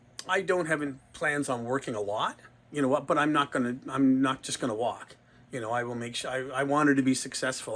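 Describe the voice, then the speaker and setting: This man talks at a fairly quick pace. His pitch is medium and his intonation fairly even. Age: 60s. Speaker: retiring sporting goods store owner. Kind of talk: interview. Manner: halting.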